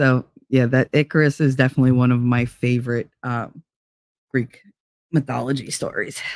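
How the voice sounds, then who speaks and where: A man with a New Jersey accent talks at a moderate pace and medium pitch, with long, frequent pauses. His intonation is monotone and flat, and the sound is dry and close, with no echo. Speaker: livestream host. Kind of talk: casual livestream chat reading comments.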